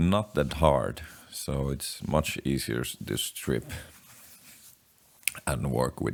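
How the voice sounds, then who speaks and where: Very slowly, a man speaks with vocal fry in a very deep, low pitch. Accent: non-native. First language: not English. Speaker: DIY guitar pedal builder. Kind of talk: casual tutorial while working. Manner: halting.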